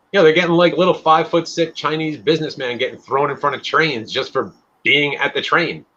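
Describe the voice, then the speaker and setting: A man with an American accent, a fairly high pitch, and a bright, sharp tone, at a fairly quick pace with fairly even intonation. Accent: slight Long Island accent on certain words. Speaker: podcast host. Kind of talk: casual chat.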